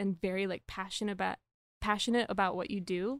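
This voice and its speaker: A woman's voice with ordinary pitch variation in a dry, close sound with no echo, on a very clean recording with a silent background. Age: 20s. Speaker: veterinary student, former film editor. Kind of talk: casual chat.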